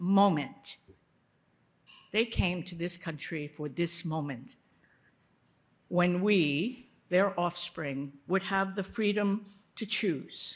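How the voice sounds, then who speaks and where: Very slow in pace, a woman speaks at a medium pitch with lively intonation. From United States. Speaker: foreign policy expert, board co-chair. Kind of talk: speech at a dinner.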